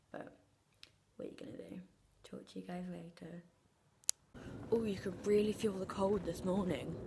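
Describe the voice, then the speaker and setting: At a moderate pace, a woman speaks. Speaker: vlogger. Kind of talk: casual vlog talk. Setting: outdoors.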